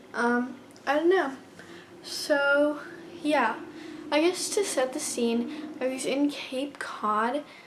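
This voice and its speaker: A woman speaking at a very slow pace with ordinary pitch variation, over noticeable background noise. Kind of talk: casual storytime talk to camera. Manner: stuttering, hesitant.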